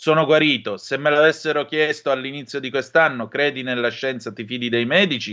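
A man with a fairly high pitch and ordinary pitch variation talks with hardly any pauses. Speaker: radio host. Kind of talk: radio talk show hosting; news reading. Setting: radio studio. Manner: theatrical.

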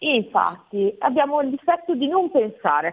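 A woman's voice swings very widely in pitch as she talks fairly slowly. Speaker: trust consultant. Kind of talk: interview. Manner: explanatory.

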